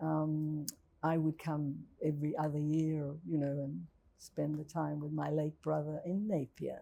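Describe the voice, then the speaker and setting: Her pace is fairly slow. This woman has a New Zealand accent. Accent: New Zealand, people ask where she's from. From Czech Republic, then New Zealand. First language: Czech. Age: 80s+. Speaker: Holocaust survivor. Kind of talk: testimony in a class Q&A. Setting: university lecture room, live and on Zoom.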